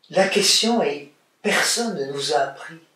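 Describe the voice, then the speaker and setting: There is audible room echo around a man speaking at a fairly slow pace. His intonation is lively. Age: 70s. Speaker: author and psychosociologist. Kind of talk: interview.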